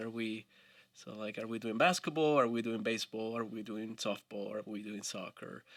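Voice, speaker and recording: Moderate pace in a Spanish accent. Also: man. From Colombia. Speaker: family physician. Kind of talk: podcast interview.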